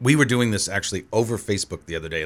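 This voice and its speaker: A man's voice with vocal fry and lively intonation. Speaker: film festival organizer. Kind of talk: radio interview, casual chat. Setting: studio.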